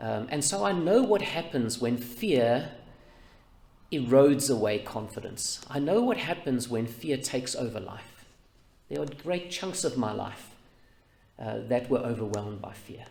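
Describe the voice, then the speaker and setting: Audible room echo surrounds a fairly slow voice in a New Zealand accent, with vocal fry, lively intonation, big swings in loudness and long, frequent pauses. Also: man, medium pitch for a man. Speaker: pastor. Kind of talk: sermon.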